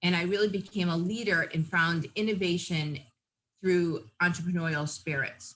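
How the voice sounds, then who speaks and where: With a New England accent, a woman speaks at a fairly low pitch in a bright, sharp tone with fairly even intonation. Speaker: nurse practitioner and nursing professor. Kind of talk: interview.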